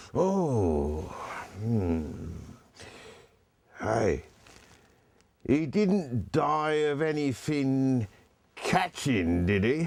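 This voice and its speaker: A put-on character voice at a very slow pace, with very wide pitch swings, very even loudness and long, frequent pauses. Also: man, medium pitch for a man. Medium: stage play. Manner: chuckling, wheedling.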